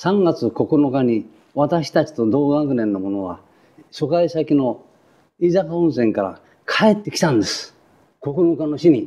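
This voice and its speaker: A man talks at a fairly slow pace with long, frequent pauses in a fairly high pitch. His tone is dark and mellow, and his pitch swings very widely. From Tokyo, Adachi area. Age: 80s+. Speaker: war survivor. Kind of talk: testimony.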